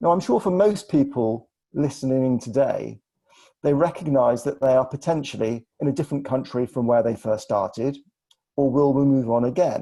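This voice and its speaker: Speaking with an English accent at a moderate pace, the voice has a dark, mellow tone and ordinary pitch variation. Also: man, medium pitch for a man. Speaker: financial adviser. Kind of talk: webinar presentation. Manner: formal.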